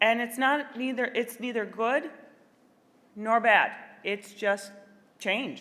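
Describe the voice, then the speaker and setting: Long, frequent pauses break up a woman's very slow speech in an American accent. Her tone is bright and sharp, her intonation fairly even. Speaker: librarian. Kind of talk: keynote speech.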